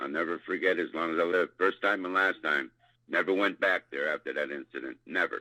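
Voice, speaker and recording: A man with an American accent at a fairly quick pace, in a very clean recording with a silent background and a dry, close sound with no echo. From US East Coast. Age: 60s. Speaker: eyewitness. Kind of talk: interview, recounting an encounter.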